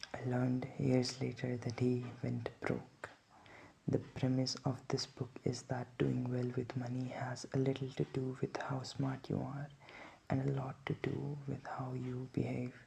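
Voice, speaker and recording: Soft-spoken and somewhat breathy, a man talks at a fairly slow pace in a medium-pitched voice with a dark, mellow tone and flat, monotone intonation. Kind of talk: sleep book reading.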